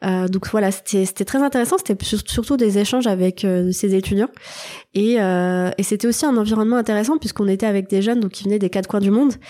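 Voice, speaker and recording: In a very clean recording with a silent background, a woman talks at a fairly quick pace in a medium-pitched, dark, mellow voice, with ordinary pitch variation and very even loudness. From Lorraine, France. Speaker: social entrepreneur. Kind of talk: interview. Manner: hesitant, many fillers.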